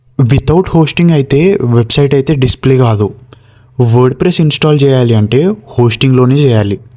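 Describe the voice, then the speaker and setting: This man has a medium pitch, a dark, mellow tone and ordinary pitch variation. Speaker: tech tutorial creator. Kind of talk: tutorial.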